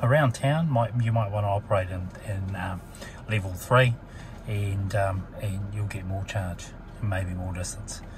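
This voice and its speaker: Faint music plays behind a man talking at a moderate pace. His fairly low voice has ordinary pitch variation, and the sound is dry with no echo. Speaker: car salesperson or owner explaining features. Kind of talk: tutorial. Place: car. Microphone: phone near.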